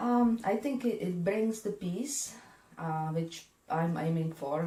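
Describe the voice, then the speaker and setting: A woman with a European accent speaks at a very slow pace in a dark, mellow tone with ordinary pitch variation. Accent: European accent, kept. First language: not English. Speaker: spiritual medium and energy healer. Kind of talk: interview. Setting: her office.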